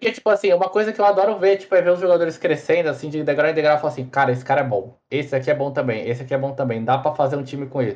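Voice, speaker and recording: A man talks at a very fast pace with a fairly high pitch. His pitch swings very widely. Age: 20s. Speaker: esports player. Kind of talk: casual chat.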